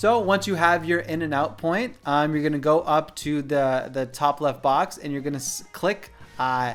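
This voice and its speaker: A man speaks at a fairly slow pace in a plain, everyday voice, his fairly high pitch rising and falling with ordinary variation. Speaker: photography YouTuber. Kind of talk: tutorial. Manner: casual, many fillers. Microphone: studio mic.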